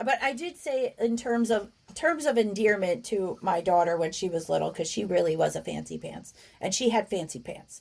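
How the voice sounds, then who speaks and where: There's a woman with a New Jersey accent. She talks at a moderate pace. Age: 50s. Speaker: podcast co-host. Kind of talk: casual chat.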